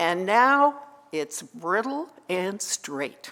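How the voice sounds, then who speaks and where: A woman at a very slow pace. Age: 70s. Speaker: psychotherapist sharing faith story. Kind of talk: personal testimony to an audience.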